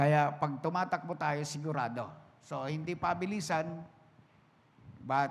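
A somewhat breathy man with a fairly high pitch, at a fairly slow pace. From Philippines, Bicol region (Sorsogon); Bicol, Philippines. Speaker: pastor. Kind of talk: sermon. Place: church. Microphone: handheld.

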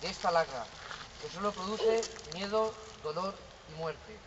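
Over noticeable background noise, a man with a high voice talks at a moderate pace with ordinary pitch variation. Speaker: manifesto reader at a vigil. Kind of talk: public reading of a statement. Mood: solemn, serious. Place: street. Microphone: camera far.

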